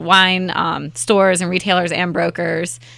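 A woman's bright, sharp, fairly low voice with a slight Southern US accent, fairly even intonation and a fairly slow pace, on a very clean recording with a silent background. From Raleigh, North Carolina. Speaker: festival co-founder. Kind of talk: casual interview chat.

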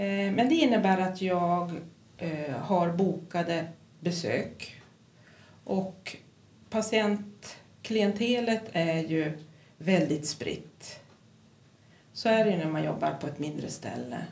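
Somewhat breathy and fairly low in pitch, a woman speaks at a very slow pace with long, frequent pauses, her voice carrying an audible room echo. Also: ordinary pitch variation. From Kiruna, Norrbotten, northern Sweden. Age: 50s. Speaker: psychiatric nurse. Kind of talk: interview.

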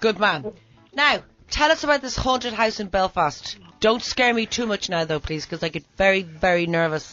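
With an Irish accent, a woman speaks at a medium pitch and a moderate pace, her pitch swinging very widely. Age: 40s. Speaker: radio host. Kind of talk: breakfast radio banter.

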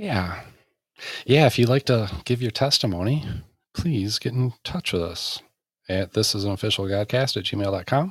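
In a very clean recording with a silent background, a somewhat breathy speaker with an American accent talks at a moderate pace with lively intonation and long, frequent pauses. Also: man, medium pitch for a man. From Michigan. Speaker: podcast host. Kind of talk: casual chat; prayer.

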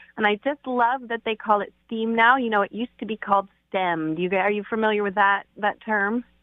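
A woman with an unremarkable speaking voice talks fairly quickly, her fairly high pitch held in fairly even intonation. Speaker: piano teacher. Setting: phone call.

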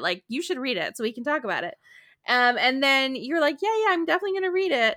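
A woman talks at a very fast pace in a raised, projected voice. The recording is very clean, with a silent background. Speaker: podcast co-host. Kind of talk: casual chat.

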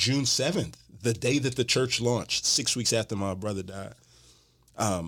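A man speaks with an American accent at medium pitch. It is a normal speaking voice with ordinary pitch variation. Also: very clean recording, silent background. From Houston, Texas. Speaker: pastor and author. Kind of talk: casual chat. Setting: studio.

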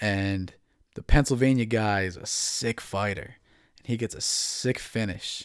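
An ordinary speaking voice with an American accent, fairly slow and fairly even in intonation, on a very clean recording with a silent background. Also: man, fairly low pitch for a man. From New Jersey. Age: 20s. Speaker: MMA podcast host. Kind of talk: casual solo commentary.

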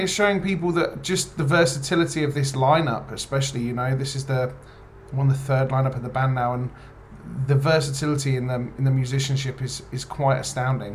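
Over music in the background, a man talks at a fairly quick pace with an English accent. His pitch is fairly high. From England. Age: 30s. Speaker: rock band lead singer. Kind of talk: interview.

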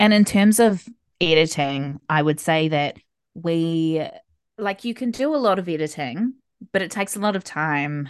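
Against a quiet background, a woman speaks at a moderate pace, her fairly low pitch carrying lively intonation. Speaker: podcast co-host and self-published author. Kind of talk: casual chat. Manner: laid back.

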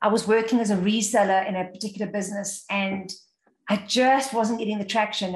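A woman talks at a fairly quick pace with a medium pitch. Her voice is somewhat breathy and her intonation fairly even. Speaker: sales trainer and keynote speaker. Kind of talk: interview.

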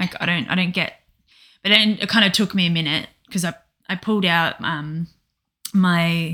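Against a silent background in a very clean recording, a woman speaks in a bright, sharp tone. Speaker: co-host, practitioner giving sessions. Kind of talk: emotional casual conversation.

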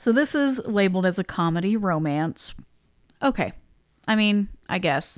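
A woman with a medium pitch speaks at a moderate pace with lively intonation, very even loudness and long, frequent pauses, on a very clean recording with a silent background. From US Midwest. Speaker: podcast co-host. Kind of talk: casual chat. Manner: quiet.

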